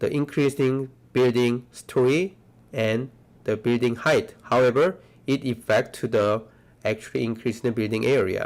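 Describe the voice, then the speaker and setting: A man's voice at a medium pitch. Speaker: architecture professor. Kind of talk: lecture. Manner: slow.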